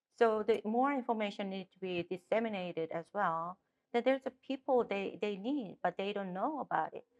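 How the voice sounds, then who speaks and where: Using a Korean accent, a woman speaks at a moderate pace and medium pitch with ordinary pitch variation. Her loudness swings a lot, and the sound is dry and close with no echo. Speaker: political candidate. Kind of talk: interview. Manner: halting.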